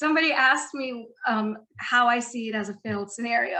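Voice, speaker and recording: A woman with a high pitch and a bright, sharp tone speaks at a moderate pace. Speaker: trader. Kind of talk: webinar tutorial. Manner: animated.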